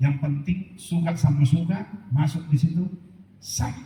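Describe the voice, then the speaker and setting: A man speaks somewhat breathily, his tone dark and mellow. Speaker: pastor. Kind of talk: sermon.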